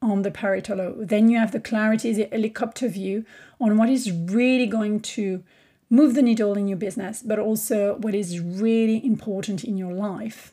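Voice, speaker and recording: A woman with a French accent speaks at a moderate pace in a somewhat breathy, dark, mellow tone. The recording is very clean, with a silent background. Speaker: podcast host, business coach. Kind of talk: solo podcast monologue.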